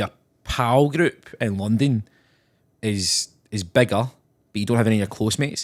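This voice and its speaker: On a very clean recording with a silent background, a man speaks at medium pitch with a Glaswegian accent. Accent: Glasgow-area Scottish. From Scotland, Renfrew. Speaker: actor. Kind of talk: casual chat.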